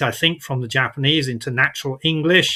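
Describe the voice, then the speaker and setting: The tone is bright and sharp. A man speaks with a British accent. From Britain. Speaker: vlogger. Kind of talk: tutorial. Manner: hesitant, many fillers.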